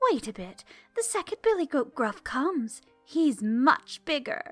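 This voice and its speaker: Over faint background music, a woman uses a put-on character voice, high-pitched, with very wide pitch swings at a moderate pace. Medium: read story.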